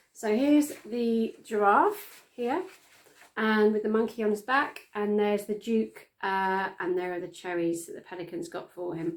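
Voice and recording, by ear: A woman talks at a fairly slow pace and a medium pitch. Her intonation is fairly even.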